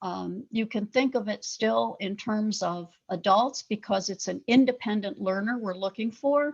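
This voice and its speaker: A somewhat breathy woman's voice, fairly high in pitch with ordinary variation, at a moderate pace. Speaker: professor. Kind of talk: lecture.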